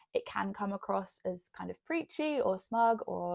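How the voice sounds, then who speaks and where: A woman speaks in a British accent. The sound is dry and close with no echo, over a quiet background. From UK. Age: 20s. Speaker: lifestyle vlogger. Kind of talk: personal storytelling to camera.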